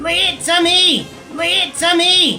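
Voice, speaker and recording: A put-on character voice speaks at an extremely high pitch in a monotone, flat intonation. Clear music plays in the background. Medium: read story.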